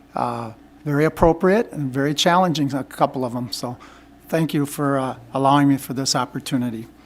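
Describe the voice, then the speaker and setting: A man with an Upper Midwest accent speaks at a fairly quick pace, his fairly high voice showing ordinary pitch variation. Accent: Upper Midwest American. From Minnesota (Minneapolis). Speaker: school board candidate, retired teacher. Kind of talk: interview. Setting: meeting room with microphone. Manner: halting.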